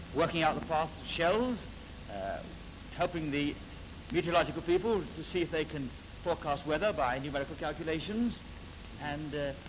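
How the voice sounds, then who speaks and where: Noticeable background noise sits under a man's fairly high voice with ordinary pitch variation. He talks at a fairly quick pace but leaves long, frequent pauses. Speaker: business executive. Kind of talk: interview answer.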